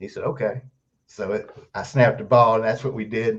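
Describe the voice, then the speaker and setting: Somewhat breathy, a man speaks at a moderate pace. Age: 60s. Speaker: author and Elvis's stepbrother. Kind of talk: interview.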